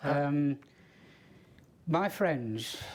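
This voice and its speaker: A fairly high-pitched man's voice with a Yorkshire accent. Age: 70s. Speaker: ultra runner. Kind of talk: interview answer.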